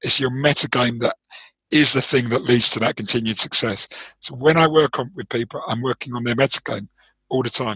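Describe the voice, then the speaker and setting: Speaking in a London accent at a fairly quick pace, a man keeps a medium pitch. His tone is bright and sharp, with fairly even intonation. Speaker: trading performance coach, former trader. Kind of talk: interview. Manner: hesitant, many fillers.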